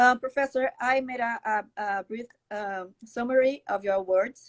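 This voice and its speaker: The voice has ordinary pitch variation, recorded with a dry, close sound with no echo against a quiet background. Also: woman. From Brazil. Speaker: law professor. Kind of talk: live webinar interview. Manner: halting.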